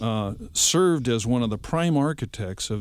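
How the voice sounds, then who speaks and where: A man with an American accent, medium pitch and lively intonation, on a very clean recording with a silent background. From Bolivia, raised by American missionary parents. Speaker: missionary and leadership trainer. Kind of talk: radio interview.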